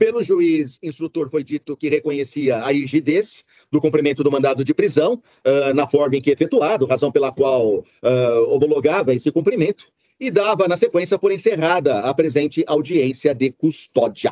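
A man speaks at a fairly high pitch with a dark, mellow tone and ordinary pitch variation. The sound is dry, with no echo and a quiet background. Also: moderate pace. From Brazil. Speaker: judge; judge presiding over a hearing. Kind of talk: court hearing. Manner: formal. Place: office. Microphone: video call.

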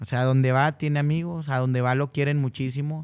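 A man is speaking at a moderate pace. His intonation is fairly even. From Monterrey, northern Mexico; Mexico. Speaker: regional Mexican singer; guest. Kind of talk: casual interview. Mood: relaxed, friendly. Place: studio. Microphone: studio mic.

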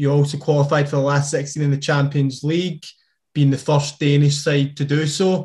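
Over a quiet background, a man with a Scottish accent speaks at a moderate pace in a somewhat breathy, fairly high voice, his loudness very even and his intonation monotone and flat. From Scotland. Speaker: podcast co-host. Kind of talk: interview question. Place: home room. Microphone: webcam.

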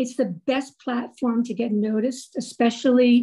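A woman speaks at a high pitch. Her tone is dark and mellow. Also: quiet background. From New Jersey, US. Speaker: woodcarving designer and website coach; guest. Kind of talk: presentation. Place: home room. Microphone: video call.

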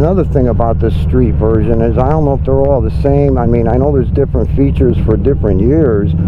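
A man with a very deep, low pitch races along at a very fast pace with hardly any pauses, lively intonation and very even loudness, while noticeable background noise runs underneath. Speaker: motorcycle vlogger. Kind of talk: casual vlog narration while riding. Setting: outdoors on a motorcycle.

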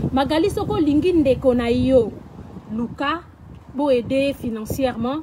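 A woman's high-pitched voice carries lively intonation over noticeable background noise. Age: 40s. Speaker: social media personality; vlogger. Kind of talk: personal video rant. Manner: animated. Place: garden.

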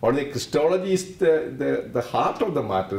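Audible room echo fills the recording. The voice is a man's. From India. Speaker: theology professor. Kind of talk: interview explanation. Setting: conference. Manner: halting, with many restarts. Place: meeting room.

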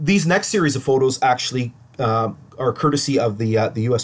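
A man with a Canadian accent talks at a fairly quick pace, his somewhat breathy voice showing ordinary pitch variation. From Ontario, Canada. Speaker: local historian presenter. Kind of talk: lecture. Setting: online livestream presentation. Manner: halting.

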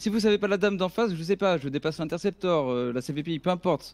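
A man speaks very fast at a high pitch, with ordinary pitch variation. The recording is very clean and dry, with a silent background and a close sound with no echo. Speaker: gamer in roleplay. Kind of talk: roleplay gaming stream.

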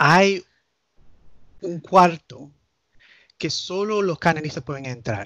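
Very slowly and with lively intonation, a man speaks at a high pitch in a dry, close sound with no echo. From United States, Nicaraguan family. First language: English (speaking Spanish). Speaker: canon lawyer. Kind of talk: casual chat. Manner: halting.

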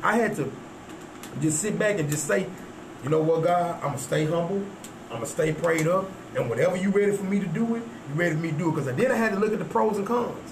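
Very fast, high-pitched man in a Southern US accent, lively intonation broken by long, frequent pauses, noticeable background noise throughout. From Texas. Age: 40s. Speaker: rapper. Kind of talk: casual chat.

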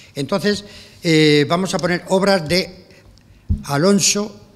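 This man speaks at a very slow pace with a high pitch. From Spain, Cartagena (Murcia); Murcia, Spain. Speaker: music director. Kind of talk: press conference speech. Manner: animated. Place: hall. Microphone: podium.

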